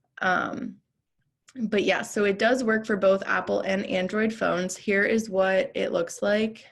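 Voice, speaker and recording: On a very clean recording with a silent background, the voice is somewhat breathy, fairly slow, with fairly even intonation and very even loudness. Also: woman, medium pitch for a woman. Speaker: real estate trainer presenting an app. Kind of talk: training presentation.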